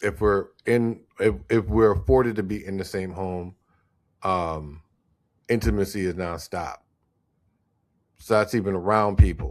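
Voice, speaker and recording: A man with a Louisiana accent speaks at a fairly slow pace, with a very deep, low pitch and ordinary pitch variation. Long, frequent pauses stand out in a very clean recording with a silent background. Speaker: podcast co-host. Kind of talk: casual chat. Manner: animated.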